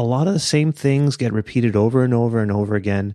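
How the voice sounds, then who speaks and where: In a quiet background, a man with a Canadian accent speaks in a medium pitch with lively intonation and a dark, mellow tone, the sound dry and close with no echo. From Canada. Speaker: podcast co-host. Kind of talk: casual chat.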